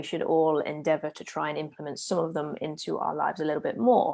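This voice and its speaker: A woman with a Leicester accent speaks at a fairly low pitch with vocal fry on a very clean recording with a silent background. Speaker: podcast host. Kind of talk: solo podcast monologue. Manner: casual, with filler words.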